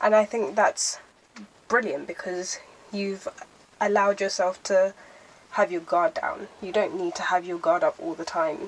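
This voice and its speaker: A woman speaks at a fairly slow pace with long, frequent pauses and big swings in loudness. Her pitch is medium, her intonation lively, and there is noticeable background noise. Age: young. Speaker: lifestyle vlogger. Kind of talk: casual vlog talk to camera.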